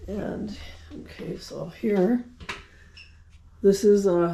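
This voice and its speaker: Noticeable background noise can be heard. The speaker talks very slowly. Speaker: plant hobbyist vlogger. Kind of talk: casual plant tour video. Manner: halting, many fillers.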